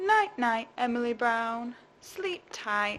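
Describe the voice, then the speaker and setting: A woman's put-on character voice, high in pitch and at a very slow pace. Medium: read story. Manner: whiny, pleading.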